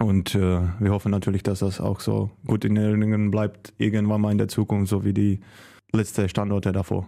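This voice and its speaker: A man speaks at a moderate pace with a Czech accent, his fairly low voice dark and mellow in tone. The intonation stays monotone and flat on a very clean recording with a silent background. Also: very even loudness. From Czech Republic. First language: Czech (speaking German). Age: 30s. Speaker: handball goalkeeper. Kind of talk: casual interview.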